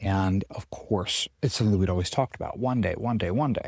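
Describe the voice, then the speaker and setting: Someone whispers quietly and somewhat breathily at a fairly quick pace. The recording is very clean with a silent background. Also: man. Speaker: chiropractor podcast host. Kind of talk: casual monologue. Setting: outdoors on a farm. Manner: whispering, quiet.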